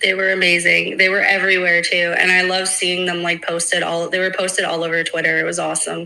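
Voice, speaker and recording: A woman talks very fast in a monotone, flat intonation, with hardly any pauses. Noticeable background noise runs behind her. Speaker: crypto project team member. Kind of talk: casual interview. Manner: hesitant, many fillers.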